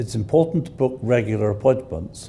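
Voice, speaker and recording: With a British accent, this man's voice has a dark, mellow tone and vocal fry. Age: 70s. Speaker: patient. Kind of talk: testimony.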